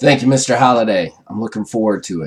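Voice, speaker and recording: In a put-on character voice, a man rattles along at a very fast pace, raspy and at medium pitch, with ordinary pitch variation. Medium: actual play. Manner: earnest, halting.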